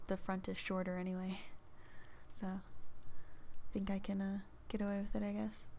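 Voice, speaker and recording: Soft-spoken, a woman talks at a moderate pace and a medium pitch. Her tone is dark and mellow, and her intonation is flat and monotone. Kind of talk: casual chatty ASMR talk to camera. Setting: close microphone recording, home. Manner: soft-spoken, chatty.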